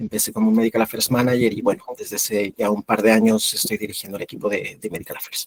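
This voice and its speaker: Monotone, flat intonation from a man at a very fast pace. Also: medium pitch for a man, hardly any pauses, dry, close sound with no echo. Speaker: medical affairs lead, former physician. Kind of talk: webinar panel talk.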